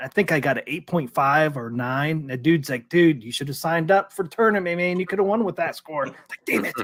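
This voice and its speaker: At a fairly quick pace, a man talks in an ordinary speaking voice, fairly high in pitch, with ordinary pitch variation. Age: 40s. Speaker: arcade talk show host. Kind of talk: casual chat.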